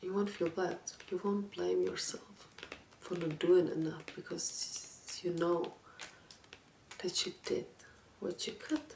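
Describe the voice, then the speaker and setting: A soft-spoken woman talks at a very slow pace with long, frequent pauses while noticeable background noise sits behind her. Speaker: ASMR content creator. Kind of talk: book talk with advice, reflective talk to camera. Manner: soft-spoken, calming.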